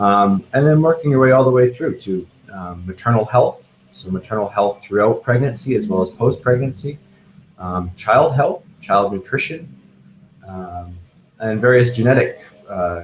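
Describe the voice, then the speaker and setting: A man's medium-pitched, somewhat breathy voice with lively intonation. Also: moderate pace. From Canada, near Toronto. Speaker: neuroimaging researcher. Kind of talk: expert Q&A interview. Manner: halting, many fillers.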